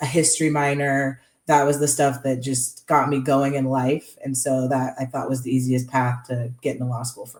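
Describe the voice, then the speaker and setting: A woman with an American accent talks in a very deep, low voice and a monotone, flat intonation. Her loudness swings widely. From US Northwest (Spokane, Washington) and Southern California. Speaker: environmental lawyer. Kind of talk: podcast interview.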